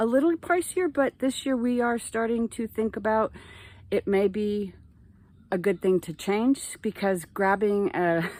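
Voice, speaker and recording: A woman with an ordinary speaking voice, fairly high-pitched, with lively intonation at a moderate pace, on a very clean recording with a silent background. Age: 60s. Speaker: small farmer. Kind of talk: casual tutorial. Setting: greenhouse tunnel. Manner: casual, chatty.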